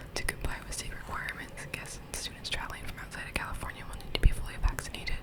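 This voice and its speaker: A woman whispers at a very fast pace, her loudness swinging widely. Noticeable background noise sits behind her. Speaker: undergraduate university student. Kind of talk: reading an official email aloud. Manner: whispered, soft-spoken.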